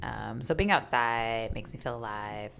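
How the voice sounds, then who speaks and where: A woman with a very deep, low pitch and an American accent, music in the background. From Kansas City, Kansas (Wyandotte County). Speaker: poet and writer. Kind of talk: casual chat.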